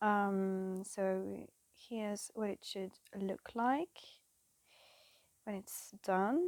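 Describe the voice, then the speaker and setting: A woman with a French accent speaks at a medium pitch in fairly even intonation, with long, frequent pauses, in a dry, close sound with no echo. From France. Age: 20s. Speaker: cross-stitch vlogger. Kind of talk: casual chat. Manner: halting; awkward.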